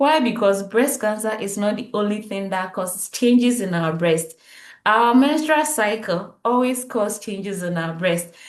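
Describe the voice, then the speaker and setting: With audible room echo, a woman talks at a moderate pace in a fairly high pitch and lively intonation. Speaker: health educator. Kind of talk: tutorial.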